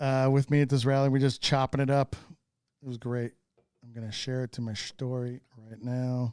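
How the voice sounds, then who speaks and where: The sound of this man's medium-pitched voice is dry and close with no echo. His loudness swings widely. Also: moderate pace, very clean recording, silent background. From United States. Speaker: car podcast co-host. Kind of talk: casual chat. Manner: animated.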